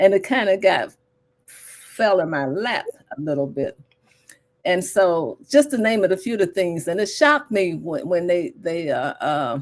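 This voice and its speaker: This woman talks at a fairly slow pace, her medium pitch swinging very widely. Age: 80s. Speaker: plant-based nutrition coach. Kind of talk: casual interview chat.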